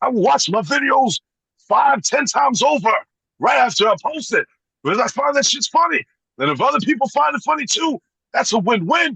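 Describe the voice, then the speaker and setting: In a raised, projected voice with an extremely high pitch and very wide pitch swings, a man speaks at a moderate pace with an animated tone, a bright, sharp timbre, very even loudness, and a dry, close sound with no echo. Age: 40s. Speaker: YouTuber making toy skits and reviews. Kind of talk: casual interview chat.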